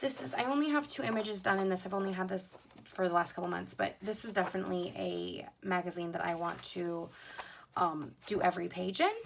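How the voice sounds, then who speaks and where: Noticeable background noise runs under a woman's fairly quick speech. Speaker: coloring hobby youtuber. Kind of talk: casual show-and-tell vlog. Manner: hesitant, many fillers.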